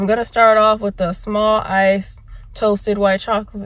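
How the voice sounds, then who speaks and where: The pace is fairly slow as a woman speaks. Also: dry sound with no echo. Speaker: vlogger. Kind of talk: casual vlog chat. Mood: relaxed, pleased. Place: car. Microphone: phone near.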